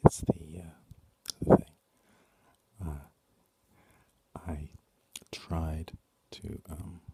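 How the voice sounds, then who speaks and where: A man whispers at a very slow pace, with long, frequent pauses and big swings in loudness. The sound is dry and close, with no echo. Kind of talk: ASMR talk to camera. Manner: soft-spoken.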